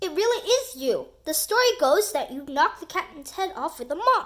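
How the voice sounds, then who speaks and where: A woman's put-on character voice, extremely high, with very wide pitch swings at a moderate pace. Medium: read story. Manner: gruff pirate bluster.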